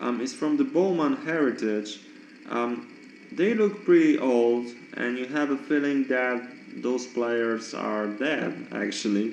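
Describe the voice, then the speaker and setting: With a non-native accent, a man talks at a very slow pace. Noticeable background noise and audible room echo are present. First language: not English. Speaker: card collector YouTuber. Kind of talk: casual show-and-tell monologue. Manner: halting, many fillers.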